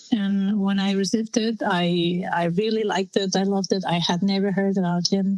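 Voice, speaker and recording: A woman with a Spanish accent speaks at a medium pitch and a moderate pace. Her intonation is monotone and flat, and her loudness is very even. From Spain. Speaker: film director. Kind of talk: interview. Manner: halting.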